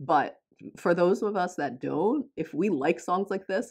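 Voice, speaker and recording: Against a quiet background, a woman talks at a moderate pace in a General American accent. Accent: general American, self-described non-. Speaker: K-pop reaction youtuber. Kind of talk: reaction video commentary.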